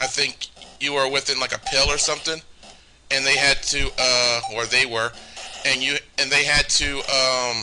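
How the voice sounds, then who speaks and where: Medium-pitched male voice in a flat monotone, with long, frequent pauses and noticeable background noise. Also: moderate pace. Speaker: gaming let's play host. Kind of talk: casual game commentary. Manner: halting, many restarts.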